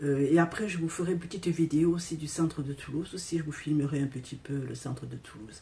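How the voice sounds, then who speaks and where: At a very fast pace, a woman speaks with a very deep, low pitch, ordinary pitch variation and big swings in loudness. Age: 60s. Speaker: vlogger. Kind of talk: casual vlog. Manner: halting.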